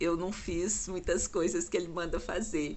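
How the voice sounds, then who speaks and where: A woman with a fairly low pitch and ordinary pitch variation, heard with audible room echo. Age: 60s. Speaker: lay preacher. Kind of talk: devotional talk. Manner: halting.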